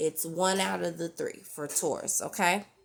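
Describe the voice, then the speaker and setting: Music plays in the background. A woman speaks at a very slow pace with ordinary pitch variation. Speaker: tarot reader. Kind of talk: tarot reading monologue. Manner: filler-heavy, repeats okay.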